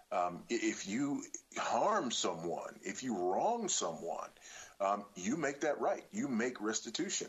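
He talks with an American accent at a very slow pace. His loudness stays very even. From South Los Angeles, California. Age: 50s. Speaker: pastor and author. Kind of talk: radio interview. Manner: frequent hesitations and repetitions.

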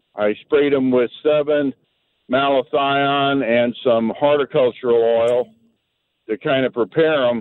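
Delivered at a fairly slow pace with an American accent, this normal speaking voice keeps very even loudness and fairly even intonation. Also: man, medium pitch for a man. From Missouri. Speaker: caller, military veteran. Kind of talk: radio call-in question. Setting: phone call.

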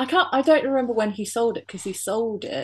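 At a fairly quick pace, a woman talks in a somewhat breathy voice. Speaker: business owner. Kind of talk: casual interview chat.

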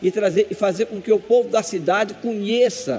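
A man with a high-pitched voice and ordinary pitch variation talks against noticeable background noise. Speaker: government culture official. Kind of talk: interview. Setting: outdoor festival event.

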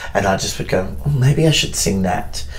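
Against noticeable background noise, a man with an Australian accent speaks at a moderate pace with ordinary pitch variation. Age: 30s. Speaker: drag performer and theatre maker. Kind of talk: casual chat. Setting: backstage dressing room.

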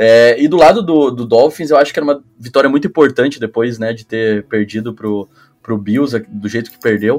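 Here is a man with an unremarkable speaking voice, a medium pitch and ordinary pitch variation. He talks at a fairly quick pace with big swings in loudness. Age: 20s. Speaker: flag football coach. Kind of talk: casual chat.

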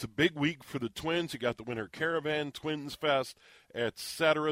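Recorded very cleanly against a silent background, a man with an American accent talks at a fairly quick pace in a plain, everyday voice, with ordinary pitch variation and a dry, close sound that has no echo. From Minnesota. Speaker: sports radio host. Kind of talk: radio interview.

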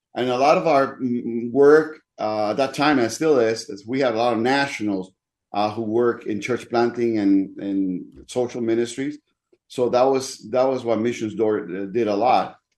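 Speaking in a Spanish accent, a man moves at a fairly slow pace with ordinary pitch variation. The background is quiet. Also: medium pitch for a man. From Dominican Republic. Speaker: pastor. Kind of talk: interview, personal testimony.

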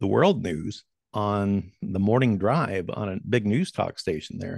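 Speaking at a fairly slow pace with an American accent, a man has an ordinary speaking voice, fairly low in pitch with ordinary pitch variation. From US Great Plains. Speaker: commodities broadcaster and former farmer. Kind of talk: casual interview conversation. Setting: home studio, remote call.

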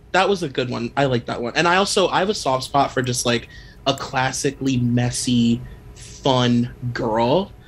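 Somewhat breathy, a man's medium-pitched voice keeps a moderate pace and ordinary pitch variation. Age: 30s. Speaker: podcast host on celebrity gossip. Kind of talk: casual interview chat.

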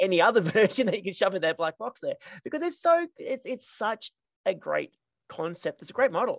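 Words come at a fairly quick pace. They are spoken in an Australian accent. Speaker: podcast host. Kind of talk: interview.

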